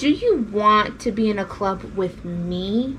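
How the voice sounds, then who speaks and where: The put-on character voice is fairly high in pitch and moves at a fairly slow pace. Clear background noise runs underneath. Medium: read story.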